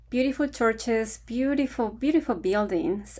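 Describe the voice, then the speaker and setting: A woman speaks with an Ecuadorian accent. Her pace is moderate. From Ecuador, Quito. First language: Spanish. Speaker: vlogger on retiring in Ecuador. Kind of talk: casual talk to camera.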